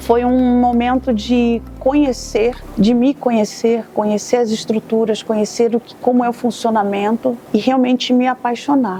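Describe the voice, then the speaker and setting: A woman speaks at a high pitch in a flat, monotone way, with hardly any pauses at a fairly slow pace. Noticeable background noise runs underneath. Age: 60s. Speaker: missionary volunteer. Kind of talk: testimony.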